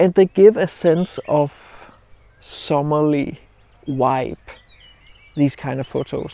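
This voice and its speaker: Heard dry with no echo, a man speaks at a fairly high pitch. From Denmark. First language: Danish. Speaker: landscape photographer. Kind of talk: outdoor vlog tutorial. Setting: outdoors by a roadside. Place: open country. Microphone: lapel.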